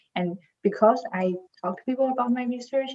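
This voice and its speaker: A woman with a non-native accent, at a moderate pace, with lively intonation. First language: not English. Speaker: PhD student, competition finalist. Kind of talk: panel discussion.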